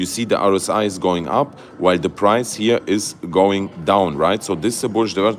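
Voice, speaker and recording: Barely pausing, a man with a fairly low pitch talks at a fairly quick pace with ordinary pitch variation. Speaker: crypto YouTuber. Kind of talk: livestream market analysis. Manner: halting, many fillers and restarts; animated.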